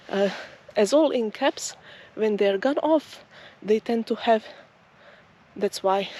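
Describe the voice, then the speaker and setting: A woman with a non-native accent speaks at a very slow pace with lively intonation. The sound is dry and close with no echo, and there is noticeable background noise. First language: not English. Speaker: nature vlogger. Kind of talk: walking vlog narration. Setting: outdoors. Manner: slow-paced; halting.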